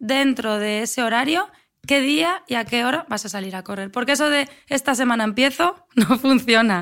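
In a very clean recording with a silent background, a woman speaks at a moderate pace with a high pitch and ordinary pitch variation. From Spain, Asturias (Avilés). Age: 30s. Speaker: athlete and running coach. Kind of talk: interview conversation.

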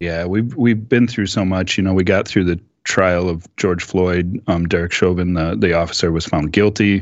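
With an Upper Midwest accent, a man with a very deep, low pitch talks at a moderate pace with ordinary pitch variation and hardly any pauses. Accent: Upper Midwest American. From US Midwest, Minneapolis. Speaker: podcast panelist. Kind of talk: casual discussion.

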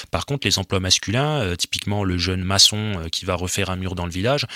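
Very deep and low, a man's voice sounds bright and sharp at a very fast pace, with ordinary pitch variation. The recording is very clean and silent behind him, with a dry, close sound and no echo. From rural north-eastern France (Haute-Marne area). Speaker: sociologist. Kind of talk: interview. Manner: halting.

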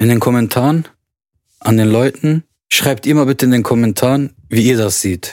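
A man with a normal speaking voice and a medium pitch talks at a moderate pace with ordinary pitch variation and very even loudness, the sound dry and close with no echo. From Germany, Lebanese family. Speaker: podcast co-host. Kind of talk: casual chat.

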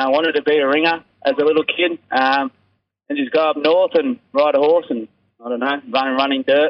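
With a strong Australian accent, a man talks at a fairly quick pace yet with long, frequent pauses, his fairly high voice showing ordinary pitch variation. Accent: broad Australian. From Australia, rural New South Wales (Braidwood). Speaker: rugby sevens player. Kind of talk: interview. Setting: phone call.

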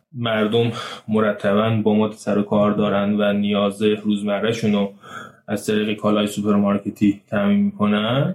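Fairly low in pitch, a man speaks at a moderate pace in a monotone, flat intonation with very even loudness. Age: 30s. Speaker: marketing campaign manager. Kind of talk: interview.

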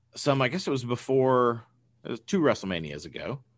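Against a quiet background, a man talks at a fairly quick pace in an unremarkable speaking voice with ordinary pitch variation. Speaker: podcast host. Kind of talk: casual chat.

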